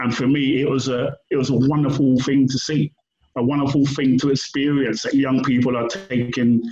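At a moderate pace, a man with a London accent speaks at a medium pitch. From London, England. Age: 50s. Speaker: writer and activist. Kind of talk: interview. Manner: halting.

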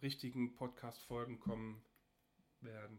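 The speaker is a man with a plain, everyday voice. He keeps a moderate pace and a medium pitch. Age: 30s. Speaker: podcast host, industrial technician and hobby photographer. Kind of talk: casual solo podcast introduction.

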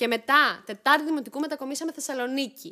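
With a very clean recording and a silent background, a woman speaks very fast in a raised, projected voice, her pitch high and her tone bright and sharp. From Greece, Thessaloniki. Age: 30s. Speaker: YouTuber. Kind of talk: casual chat.

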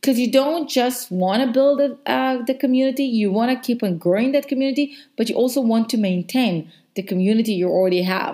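A woman's high voice with a dark, mellow tone and ordinary pitch variation, on a very clean recording against a silent background. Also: fairly quick pace. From Israel. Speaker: podcast host, branding and social media consultant. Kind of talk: solo podcast monologue, business tips.

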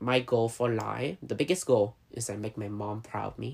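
A man with a medium pitch speaks with vocal fry. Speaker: podcast host. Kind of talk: casual interview chat.

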